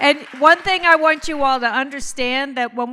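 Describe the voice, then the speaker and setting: With an American accent, a woman speaks in a bright, sharp tone at a moderate pace and with ordinary pitch variation. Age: 60s. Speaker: co-founder of a mothers' organization. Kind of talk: anniversary speech. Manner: conversational, informal.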